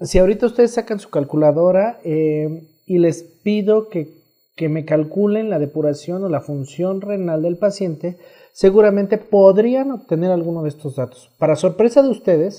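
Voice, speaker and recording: A man with a dark, mellow tone speaks at a moderate pace, his pitch high and varying in an ordinary way. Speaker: nephrologist. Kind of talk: medical lecture.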